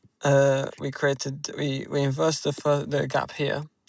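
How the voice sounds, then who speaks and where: Delivered at a fairly slow pace, the speech has a monotone, flat intonation. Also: man. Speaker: day trader. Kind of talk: tutorial. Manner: soft-spoken; halting.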